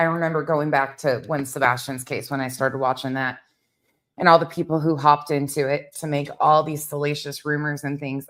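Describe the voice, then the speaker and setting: In a put-on character voice that is shaky and monotone, the speaker talks at a fairly quick pace with low-to-middle pitch on a very clean recording with a silent background. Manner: shaky voice.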